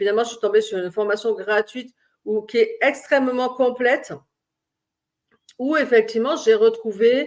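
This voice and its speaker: This woman has a high pitch and ordinary pitch variation, speaking at a moderate pace with big swings in loudness and long, frequent pauses. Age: 60s. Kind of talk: personal vlog monologue. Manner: halting, many hesitations.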